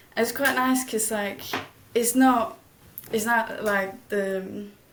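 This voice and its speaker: Very slow, monotone delivery with flat intonation, noticeable background noise and audible room echo. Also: woman, fairly high pitch for a woman. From Denmark, village. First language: Danish. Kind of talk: interview. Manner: hesitant.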